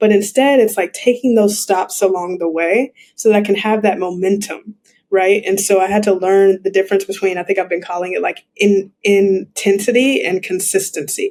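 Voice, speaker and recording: A woman speaks in a plain, everyday voice at a medium pitch. Her intonation is fairly even and her pace moderate. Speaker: mindfulness coach and entrepreneur. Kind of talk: podcast interview.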